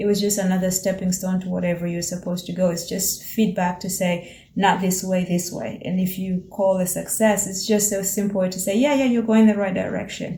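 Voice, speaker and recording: At a fairly quick pace, a woman with an East African accent and a medium pitch sounds somewhat breathy, her intonation fairly even amid audible room echo. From Tanzania. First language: Swahili. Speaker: vlogger and small business owner. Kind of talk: reflective monologue. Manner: casual, with repetitions and fillers.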